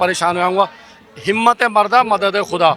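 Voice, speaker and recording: Over noticeable background noise, a man with a high pitch uses a raised, projected voice at a moderate pace. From India. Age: 60s. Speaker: protester. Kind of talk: street interview. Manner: animated.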